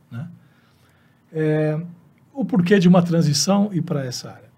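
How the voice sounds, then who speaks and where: A high-pitched man's voice at a moderate pace, with ordinary pitch variation and audible room echo. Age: 50s. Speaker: veterinarian. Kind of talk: interview.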